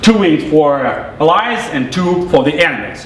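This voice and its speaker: Through audible room echo and noticeable background noise, a man talks fairly slowly at a high pitch. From Russia. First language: Russian. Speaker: game developer. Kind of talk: live product demo presentation. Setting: press event presentation. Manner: halting, with filler words and repetitions.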